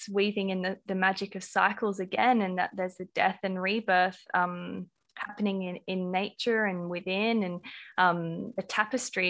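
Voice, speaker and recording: A woman's medium-pitched voice in an Australian accent, at a moderate pace with monotone, flat intonation. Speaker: podcast host. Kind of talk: casual interview chat. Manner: warm, gentle, easeful.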